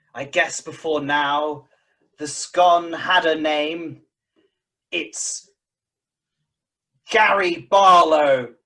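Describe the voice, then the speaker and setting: In a put-on character voice at a middle pitch, the speaker goes very slowly, with long, frequent pauses. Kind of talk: comic improv overacting. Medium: stage play. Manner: angry, ranting in rough rhyming couplets.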